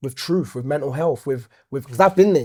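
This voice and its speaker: Speaking at a very fast pace with a Nottingham accent, a man has a dark, mellow tone, a fairly high pitch and ordinary pitch variation, captured in a very clean recording with a silent background. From Nottingham, St. Ann's. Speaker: poet and musician. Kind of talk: interview answer. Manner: casual, conversational.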